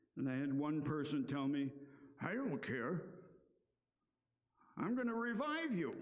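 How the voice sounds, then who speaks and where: There is a quiet background. A man speaks with ordinary pitch variation. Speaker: pastor. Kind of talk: sermon. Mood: earnest, conversational. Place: church. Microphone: headset.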